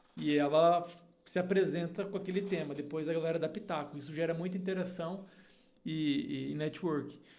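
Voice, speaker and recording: A man's voice comes through at a moderate pace. His pitch is high. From Paraná, Brazil. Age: 30s. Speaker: agronomist and leadership mentor. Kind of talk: podcast interview. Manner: hesitant fillers.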